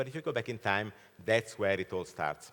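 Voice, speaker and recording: Here a man speaks with a fairly low pitch. His pitch variation is ordinary. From Italy. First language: Italian. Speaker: keynote speaker, fintech expert. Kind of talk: keynote presentation. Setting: conference stage with audience.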